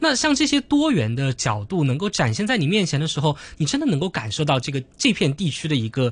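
Pitched fairly high with very wide swings, a man speaks at a fairly quick pace with hardly any pauses. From Hong Kong. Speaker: university student debater. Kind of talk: radio interview.

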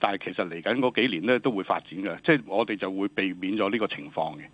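A man speaks very fast in a fairly low voice. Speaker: government department director. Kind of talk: radio interview. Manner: halting, many fillers.

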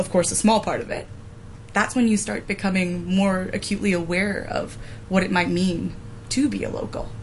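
A woman talks at a moderate pace and medium pitch, with fairly even intonation. Noticeable background noise runs underneath. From Hong Kong. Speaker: journalist. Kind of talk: casual chat.

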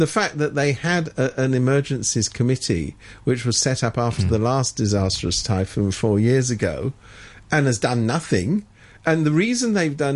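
A man talks with a British accent. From Britain. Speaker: political commentator. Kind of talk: radio current affairs discussion. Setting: radio studio.

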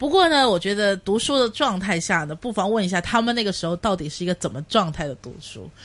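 Over noticeable background noise, a woman with a Cantonese accent and a medium pitch speaks at a very fast pace with hardly any pauses, lively intonation and big swings in loudness. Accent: Cantonese-accented Mandarin. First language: Cantonese (speaking Chinese). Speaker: radio host. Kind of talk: casual chat.

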